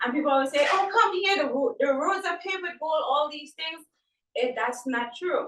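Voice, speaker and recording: A bright, sharp tone with a Trinidadian accent and lively intonation. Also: woman. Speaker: event participant. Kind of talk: testimony.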